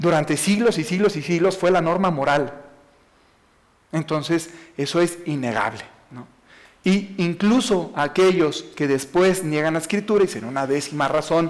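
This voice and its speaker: A high-pitched man with a Mexican accent, ordinary pitch variation and long, frequent pauses. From Mexico, Jalisco/Aguascalientes. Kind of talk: talk to an audience. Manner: fast.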